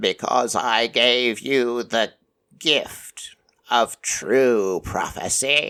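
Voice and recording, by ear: A put-on character voice, croaky and low-to-middle in pitch, at a very slow pace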